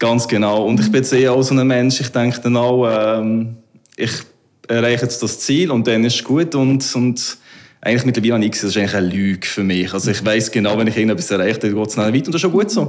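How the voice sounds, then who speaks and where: In a Solothurn accent, a man speaks at a very fast pace with medium pitch and ordinary pitch variation. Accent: Solothurn Swiss German dialect. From Solothurn, Switzerland. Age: 30s. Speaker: salon owner. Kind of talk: casual interview.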